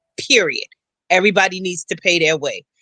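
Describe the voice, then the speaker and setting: A man's animated, raised and projected voice, high in pitch, bright and sharp in tone, at a fairly quick pace, with a dry, close sound and no echo. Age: 60s. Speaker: political commentator, housing specialist. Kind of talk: panel discussion.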